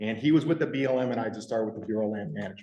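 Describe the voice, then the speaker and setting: A man speaks with a slight Michigan accent, and some room echo can be heard. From rural Michigan. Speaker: park ranger / land management official. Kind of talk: public meeting self-introduction.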